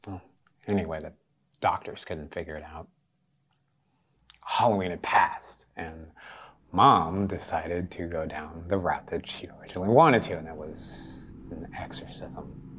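With long, frequent pauses at a moderate pace, a man puts on a raspy character voice with a very deep, low pitch. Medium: audio drama. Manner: wry, guarded, halting.

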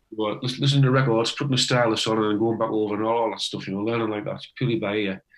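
In a Teesside accent, a man speaks very fast at a medium pitch with fairly even intonation. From northeast England, Teesside. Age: 60s. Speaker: retired electrician, amateur harmonica player. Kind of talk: casual interview.

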